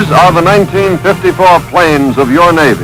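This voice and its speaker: A man with a fairly high voice talks with ordinary pitch variation while music plays behind him. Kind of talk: documentary narration.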